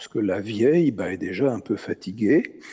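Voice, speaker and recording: Ordinary pitch variation shapes this voice. The speaker is a man. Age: 70s. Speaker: philosopher. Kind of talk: interview. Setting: stage with audience. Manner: halting, many hesitations.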